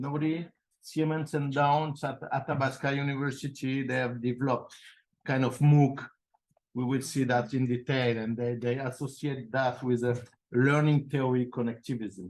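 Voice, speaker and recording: With a French accent, a man speaks at a moderate pace and medium pitch with fairly even intonation. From France. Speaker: professor. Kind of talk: conference talk. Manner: halting, with many fillers and repeats.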